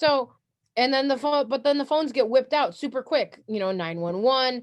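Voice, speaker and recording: This woman is loud, with a high pitch. She speaks at a moderate pace in an animated tone. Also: lively intonation. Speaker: martial arts instructor. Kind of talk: workshop talk.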